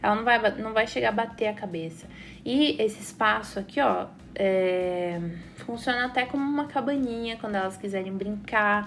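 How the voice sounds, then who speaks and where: A woman with a fairly high voice speaks at a moderate pace with ordinary pitch variation, a plain, everyday voice. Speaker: architect / interior designer. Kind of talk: tutorial.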